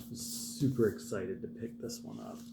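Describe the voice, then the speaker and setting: A man speaks quietly at a moderate pace. Audible room echo and noticeable background noise are present. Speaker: vinyl collector YouTuber. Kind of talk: casual record show-and-tell vlog. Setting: at home, early morning. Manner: quiet, keeping voice down.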